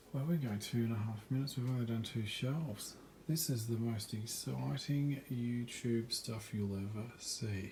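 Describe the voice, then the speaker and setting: Soft-spoken and somewhat breathy, a man with an Australian accent talks at medium pitch in a dark, mellow tone with hardly any pauses. Room echo is audible. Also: ordinary pitch variation, moderate pace. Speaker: vlogger. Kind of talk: casual home tour vlog. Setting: at home at night. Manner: quiet, soft-spoken.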